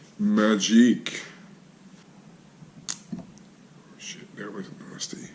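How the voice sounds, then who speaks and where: With noticeable background noise behind him, a man talks very slowly, leaving long pauses often. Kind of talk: casual hobby tutorial talk to camera.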